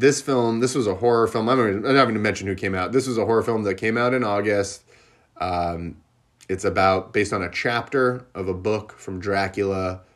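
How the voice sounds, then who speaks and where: This man has an unremarkable speaking voice, fairly low in pitch, talking at a fairly quick pace with fairly even intonation. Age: 30s. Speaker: podcast host. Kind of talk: solo movie review monologue.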